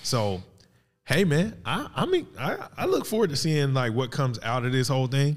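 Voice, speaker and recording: An ordinary speaking voice from a man with fairly high pitch and lively intonation. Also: moderate pace. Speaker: podcast host. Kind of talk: casual banter podcast chat. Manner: teasing, playful.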